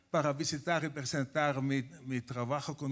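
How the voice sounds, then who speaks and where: A man's fairly slow speech with a Finnish accent and fairly even intonation. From Finland. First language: Finnish (speaking Spanish). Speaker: professor. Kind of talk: conference talk. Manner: halting.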